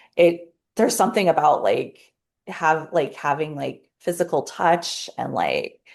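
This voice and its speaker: In a Southern California accent, the speaker talks at a fairly slow pace against a quiet background. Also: woman. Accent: valley girl. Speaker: podcast host. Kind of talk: casual chat. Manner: many filler words.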